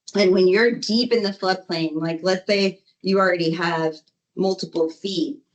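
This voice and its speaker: This woman's voice sits at medium pitch and shows ordinary pitch variation. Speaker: flood control engineer. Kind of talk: presentation at public board meeting. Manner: fast.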